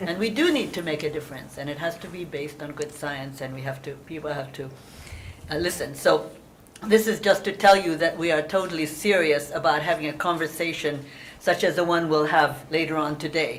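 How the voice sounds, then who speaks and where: In a very deep, low pitch, a woman speaks at a fairly quick pace with ordinary pitch variation and big swings in loudness. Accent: Hungarian. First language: Hungarian. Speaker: moderator. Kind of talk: panel introduction.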